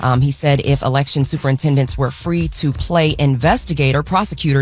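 Over faint music in the background, a woman talks at a fairly quick pace. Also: dry sound with no echo. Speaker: radio news host. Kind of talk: news reading. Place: studio.

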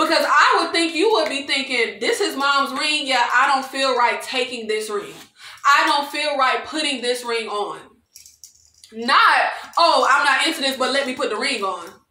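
A woman speaks in a high, raised, projected voice with an animated tone. Audible room echo surrounds her. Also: lively intonation, moderate pace. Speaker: video creator reviewing TV shows. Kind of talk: angry rant, indignant recap and commentary on reality TV. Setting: solo video recording. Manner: animated, exasperated, indignant, emphatic with repeated 'child' and 'y'all'. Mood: exasperated, opinionated.

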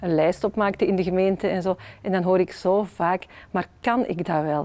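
A dark, mellow tone at a moderate pace with fairly even intonation. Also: woman. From Flanders, Belgium. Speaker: politician, member of the Flemish Parliament. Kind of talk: interview answer. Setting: parliament interview video. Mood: warm, smiling, encouraging. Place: hall. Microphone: lapel.

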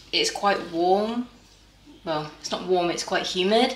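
With audible room echo and light background noise, a woman talks with ordinary pitch variation. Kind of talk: casual cooking tutorial chat. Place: kitchen. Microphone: camera far.

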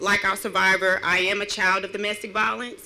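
The pace is moderate. The speaker is a woman. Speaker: victim advocate. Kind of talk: rally speech; public speech. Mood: earnest, personal testimony. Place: open country. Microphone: podium.

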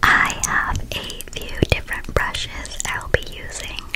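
A woman at a very slow pace amid loud background noise. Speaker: ASMR creator. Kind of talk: soft-spoken ASMR chat. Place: home room. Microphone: studio mic.

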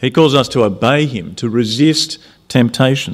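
Lively intonation marks this very slow delivery with an Australian accent. The background is quiet. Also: man. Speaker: preacher. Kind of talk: sermon. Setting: church. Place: hall. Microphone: podium.

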